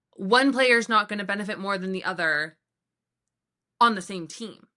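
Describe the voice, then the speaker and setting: A woman of medium pitch with an American accent, a bright, sharp tone, ordinary pitch variation, a moderate pace and big swings in loudness. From US, Colombian household. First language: Spanish. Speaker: podcast co-host. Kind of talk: casual chat.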